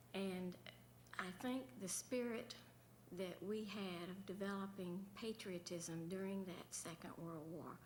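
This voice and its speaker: Speaking at a very slow pace, a woman has a Southern US accent and medium pitch. There is audible room echo. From central Florida, Sanford. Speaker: former governor's wife. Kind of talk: panel remarks.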